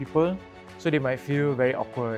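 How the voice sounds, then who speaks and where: A man with a Singaporean accent talks at a medium pitch with ordinary pitch variation while music plays in the background. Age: 20s. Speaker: financial representative. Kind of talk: interview answer. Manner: pausing between memories.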